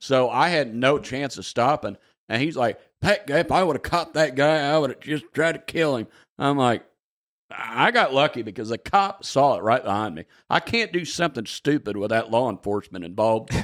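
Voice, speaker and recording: In a strong Southern US accent, a man speaks at a fairly high pitch and a moderate pace with lively intonation, on a very clean recording with a silent background. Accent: thick Southern US. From southern Indiana, US. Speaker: stand-up comedian. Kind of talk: podcast interview answer.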